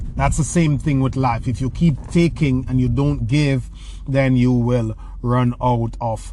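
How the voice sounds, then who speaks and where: Moderate pace against noticeable background noise. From rural Jamaica. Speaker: personal development podcast host. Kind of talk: podcast monologue answering listener questions. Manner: hesitant, many fillers and repeated words.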